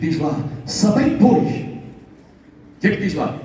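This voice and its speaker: Amid noticeable background noise and audible room echo, a man talks at a very slow pace with very wide pitch swings. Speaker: preacher. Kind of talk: sermon. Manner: emphatic, repetitive.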